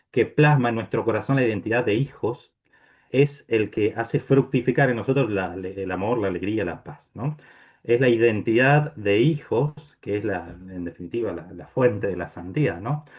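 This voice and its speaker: This is a plain, everyday voice at a moderate pace with ordinary pitch variation. Its loudness swings widely. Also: man, medium pitch for a man. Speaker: priest giving a talk. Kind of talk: lecture. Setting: video call.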